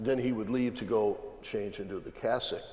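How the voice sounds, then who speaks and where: A man's medium-pitched voice at a moderate pace, with ordinary pitch variation and noticeable background noise. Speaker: cardinal. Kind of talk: panel conversation.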